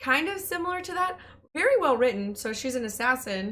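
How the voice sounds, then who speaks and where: A woman's bright, sharp voice at a fairly quick clip, with very wide swings in pitch. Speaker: streamer, podcast co-host. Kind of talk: casual podcast conversation.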